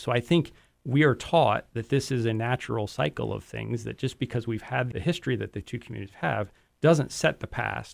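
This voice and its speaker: In a very clean recording with a silent background, a man with an ordinary speaking voice talks at a fairly quick pace, medium in pitch, with lively intonation. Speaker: advisory board member. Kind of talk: radio interview.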